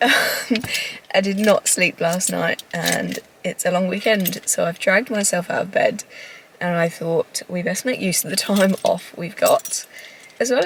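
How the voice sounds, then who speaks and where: A woman's moderately paced speech comes with noticeable background noise. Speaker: travel vlogger. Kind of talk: casual vlog chat.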